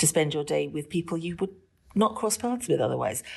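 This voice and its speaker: A woman with a British accent over a quiet background. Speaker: teacher, former civil servant. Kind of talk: interview discussion.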